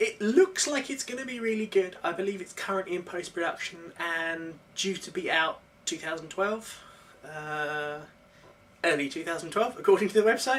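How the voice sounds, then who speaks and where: Woman with a British accent, medium pitch, lively intonation and big swings in loudness, moderate pace, noticeable background noise. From UK. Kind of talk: casual vlog talk to camera.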